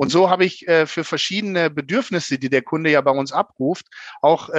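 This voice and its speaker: At a moderate pace, a man with a high pitch and ordinary pitch variation speaks over a quiet background, the sound dry and close with no echo. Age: 40s. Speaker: bank manager. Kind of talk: interview.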